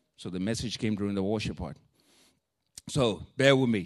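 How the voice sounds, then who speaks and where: A man with a strong non-native accent, fairly low in pitch, at a fairly quick pace with ordinary pitch variation. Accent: thick non-native. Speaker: preacher. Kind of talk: sermon. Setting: church. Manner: animated, informal.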